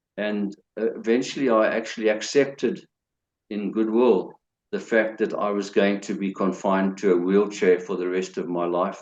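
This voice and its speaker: A man with a plain, everyday voice, fairly low pitch, ordinary pitch variation and a fairly slow pace, over a quiet background. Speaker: retired scientist. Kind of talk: interview answer.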